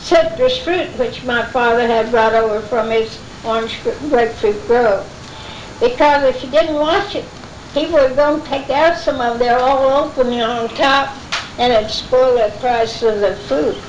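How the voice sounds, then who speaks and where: A woman with an American accent speaks at a high pitch and fairly slow pace. Her pitch variation is ordinary, and noticeable background noise is present. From Florida, South Brevard. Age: 80s+. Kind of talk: oral history talk to an audience. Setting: live event recording.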